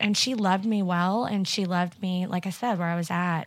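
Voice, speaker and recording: A woman with a Missouri accent speaks at a medium pitch with fairly even intonation, on a very clean recording with a silent background. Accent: Midwestern American (Missouri). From southwest Missouri. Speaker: church staff member. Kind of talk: casual interview.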